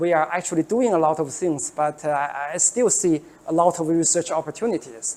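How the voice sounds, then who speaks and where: With a Chinese accent, a woman speaks at a fairly low pitch. Her tone is dark and mellow, her pace moderate. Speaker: professor. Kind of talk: lecture. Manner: halting, many fillers and repetitions.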